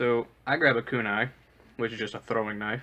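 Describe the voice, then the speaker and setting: Fairly even intonation with a slight Southern US accent. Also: man. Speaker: storyteller. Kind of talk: personal storytelling. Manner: casual, with frequent filler uhs.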